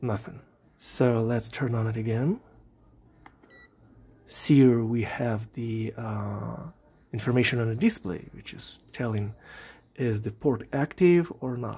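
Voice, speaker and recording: The voice has a dark, mellow tone and is somewhat breathy, with big swings in loudness. It moves at a very slow pace with long, frequent pauses. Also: man, ordinary pitch variation. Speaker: electronics hobbyist, radio amateur. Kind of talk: casual electronics tutorial talk to camera. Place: workshop.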